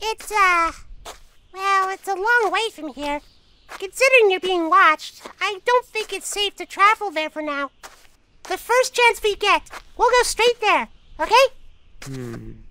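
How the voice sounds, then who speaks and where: This is a squeaky, put-on character voice with an extremely high pitch. It moves at a fairly slow pace with long, frequent pauses. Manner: earnest, apologetic.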